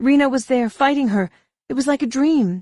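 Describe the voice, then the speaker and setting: A croaky, female-sounding, put-on character voice moves along at a fairly quick pace. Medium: read story.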